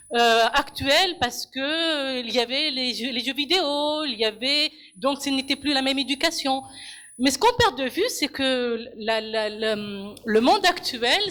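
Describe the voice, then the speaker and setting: Her voice bright and sharp in tone, a woman speaks fairly slowly at a high pitch. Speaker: audience member in public debate. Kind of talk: public debate contribution. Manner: halting, many repetitions; passionate.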